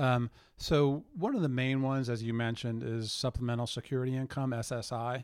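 A man's medium-pitched voice, an unremarkable speaking voice, at a moderate pace with fairly even intonation, in a very clean recording with a silent background. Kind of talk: interview.

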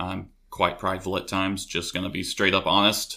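A man with a Tennessee accent, a very deep, low pitch and a bright, sharp tone, at a moderate pace in a very clean recording with a silent background. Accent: Tennessee Southern US. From US South (Knoxville, Tennessee). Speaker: college student. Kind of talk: testimony.

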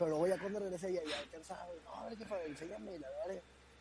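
A man is speaking at a fairly quick pace. Background noise is noticeable. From northern Mexico, Hermosillo (Sonora). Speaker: guest on a friend's podcast. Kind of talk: casual chat.

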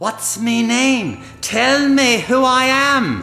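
Over clear background noise, a female-sounding voice in a put-on character voice speaks very slowly at a high pitch.

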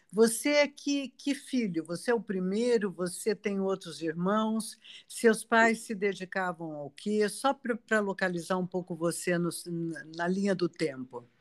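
It is an ordinary speaking voice, from a woman at a medium pitch. She speaks at a fairly slow pace with lively intonation. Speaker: podcast host. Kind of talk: interview conversation.

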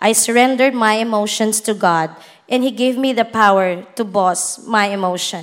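Fairly even in intonation, a woman with a plain, everyday voice speaks slowly-ish, at a fairly slow pace, with a fairly high pitch. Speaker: bank manager. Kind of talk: testimony. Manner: formal.

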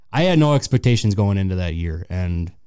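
A man with an American accent, a dark, mellow tone and lively intonation, on a very clean recording with a silent background. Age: 30s. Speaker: sports fan guest. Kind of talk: casual chat. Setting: studio.

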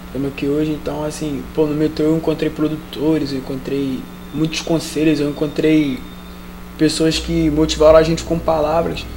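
A man speaks with a Carioca accent in a flat, monotone delivery, with audible room echo and noticeable background noise. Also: fairly high pitch for a man, moderate pace. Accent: carioca Brazilian Portuguese. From Rio de Janeiro, Vila Militar. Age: 20s. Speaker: street musician. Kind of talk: interview.

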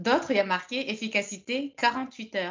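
A woman speaks at a fairly slow pace in a fairly high pitch, with ordinary pitch variation. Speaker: French conversation partner. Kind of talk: casual chat. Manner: animated.

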